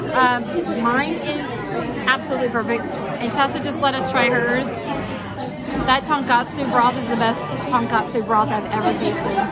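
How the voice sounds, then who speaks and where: Clear music sounds behind a woman who talks at a moderate pace with ordinary pitch variation and long, frequent pauses. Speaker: food vlogger. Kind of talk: casual vlog chat. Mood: delighted, enthusiastic. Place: bar. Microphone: phone near.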